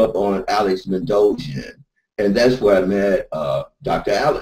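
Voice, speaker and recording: Dark and mellow in tone, the man speaks with an American accent. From US Midwest, Detroit. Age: 60s. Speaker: small business owner. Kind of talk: interview answer in a webinar. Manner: halting, many fillers.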